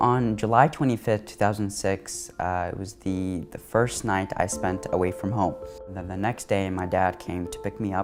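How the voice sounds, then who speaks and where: Music plays in the background as a man talks at a fairly low pitch and a moderate pace. His pitch varies in an ordinary way, and his loudness swings widely. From Iraq. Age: young. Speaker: writer. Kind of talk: interview answer.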